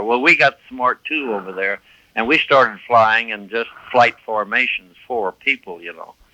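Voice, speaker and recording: With an American accent, a man speaks at a medium pitch in a bright, sharp tone. The sound is dry and close, with no echo. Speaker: war veteran. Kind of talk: interview answer.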